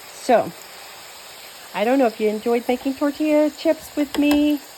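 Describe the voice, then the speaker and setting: Lively intonation at a moderate pace, with noticeable background noise. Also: woman. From New Mexico. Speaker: home cooking vlogger. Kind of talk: cooking tutorial with casual chat. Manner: casual, chatty.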